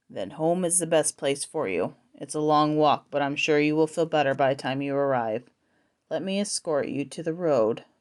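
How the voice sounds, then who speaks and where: A woman puts on a gruff character voice with a very deep, low pitch. She keeps a moderate pace. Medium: read story. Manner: gruff, knowing.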